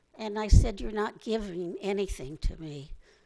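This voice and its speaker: A woman's dark, mellow tone with vocal fry, ordinary pitch variation and a moderate pace. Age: 80s+. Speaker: public commenter. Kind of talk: public comment at council meeting. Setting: city council meeting.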